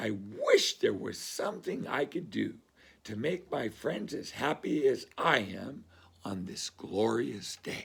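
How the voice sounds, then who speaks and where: In a put-on character voice, a man speaks raspy and fairly high-pitched at a fairly slow pace, with big swings in loudness. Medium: read story.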